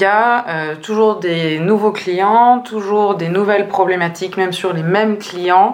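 The speech moves at a fairly slow pace with hardly any pauses and fairly even intonation over noticeable background noise. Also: woman, medium pitch for a woman. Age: 20s. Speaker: strategic planner at a communications agency. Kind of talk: interview. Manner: hesitant, many fillers.

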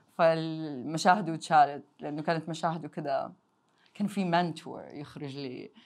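The background is silent on this very clean recording. Words come at a fairly slow pace. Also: woman. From Jeddah, Saudi Arabia. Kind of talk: casual interview chat. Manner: code-switching between Arabic and English.

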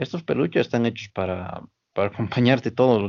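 A man's unremarkable speaking voice, lively in intonation, at a moderate pace. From Bolivia, Oruro. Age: 30s. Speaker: small business owner, former gym instructor. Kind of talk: casual interview.

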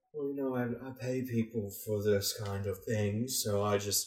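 Mumbling in a put-on character voice, a man speaks at a medium pitch and a moderate pace.

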